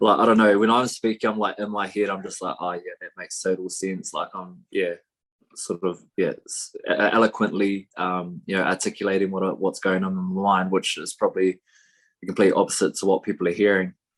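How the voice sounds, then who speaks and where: With a New Zealand accent, a man talks at a fairly quick pace, his loudness swinging widely. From New Zealand, East Coast. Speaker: professional rugby player. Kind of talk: podcast interview. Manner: casual, many fillers.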